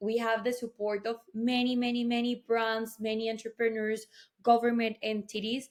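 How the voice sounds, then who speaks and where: With a Colombian accent, a woman speaks at a moderate pace in a fairly high pitch and a monotone, flat intonation. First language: Spanish. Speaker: tech event co-founder. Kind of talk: interview.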